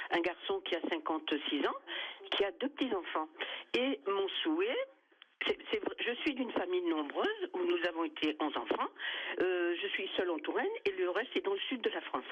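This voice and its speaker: Over noticeable background noise, a woman talks at a moderate pace with very even loudness. Her pauses are long and frequent. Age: 80s+. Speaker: caller. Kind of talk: radio call-in testimony.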